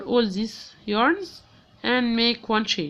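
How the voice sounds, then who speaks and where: In an Arabic accent, a woman speaks at a very slow pace with fairly high pitch. The background is quiet. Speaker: crochet teacher. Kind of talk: tutorial. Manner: halting, many fillers.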